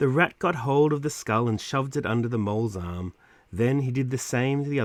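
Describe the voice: Plain reading aloud, its pitch varying in an ordinary way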